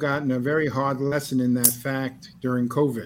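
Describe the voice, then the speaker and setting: A man talks in a normal speaking voice. His pitch sits fairly high. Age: 60s. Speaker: alternative health doctor. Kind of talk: interview. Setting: video call.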